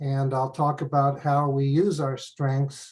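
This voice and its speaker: Speaking with an American accent, a man with a fairly high pitch and a somewhat breathy voice talks at a fairly slow pace. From US. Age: 70s. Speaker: professor. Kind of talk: lecture. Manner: halting.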